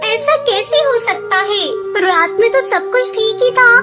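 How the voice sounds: Loud music plays in the background behind a cartoonish character voice that sounds female. It speaks at a moderate pace in an extremely high pitch.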